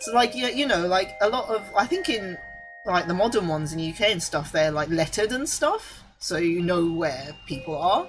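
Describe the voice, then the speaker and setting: Moderately paced talking over background music. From Japan (grew up in north). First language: Japanese. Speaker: vtuber streamer. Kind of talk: casual chat.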